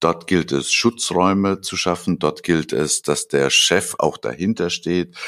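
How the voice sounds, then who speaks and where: A man speaks very slowly in a very deep, low voice with ordinary pitch variation. He leaves hardly any pauses. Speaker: podcast co-host, business consultant. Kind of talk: casual chat.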